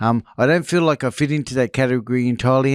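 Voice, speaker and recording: At a fairly quick pace, a man with an Australian accent speaks at medium pitch. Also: very clean recording, silent background. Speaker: former drug addict and escaped prisoner. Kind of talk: interview testimony.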